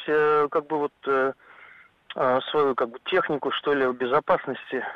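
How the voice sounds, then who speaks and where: A man talks very slowly in a fairly high voice, with hardly any pauses. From Zhukovsky, Moscow region. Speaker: caller. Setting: phone call.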